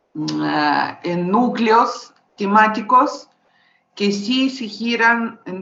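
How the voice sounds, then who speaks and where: At a very slow pace, a woman talks at medium pitch. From Russia. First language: Russian (speaking Spanish). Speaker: visual artist. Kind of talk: panel discussion. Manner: halting.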